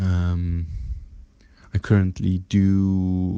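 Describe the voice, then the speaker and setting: A man's very deep, low voice with a dark, mellow tone and monotone, flat intonation, in a dry, close sound with no echo against a quiet background. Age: 20s. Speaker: IT worker and entrepreneur. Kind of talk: voice message.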